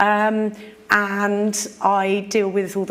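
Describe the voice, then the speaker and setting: The recording carries noticeable background noise and audible room echo. The speaker is a woman. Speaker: conference speaker. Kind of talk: conference talk. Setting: stage with audience. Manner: informal.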